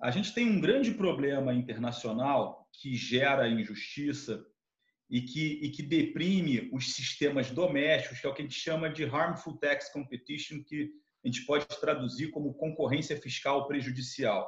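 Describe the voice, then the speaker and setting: A somewhat breathy, fairly high male voice with ordinary pitch variation at a moderate pace. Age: 40s. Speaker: tax law professor and lawyer. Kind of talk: interview. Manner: halting, many fillers and repetitions.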